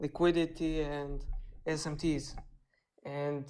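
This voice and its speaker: This woman has a very deep, low voice and a non-native accent. The recording is very clean, with a silent background. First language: not English. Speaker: caller, beginner trader. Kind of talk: asking questions on a live stream. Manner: halting.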